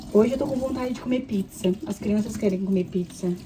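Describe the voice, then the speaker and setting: Over noticeable background noise, a woman talks at a fairly quick pace and a medium pitch, with ordinary pitch variation. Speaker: vlogger, mother. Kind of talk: casual vlog chat while cleaning. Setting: at home, kitchen sink. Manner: casual, chatty.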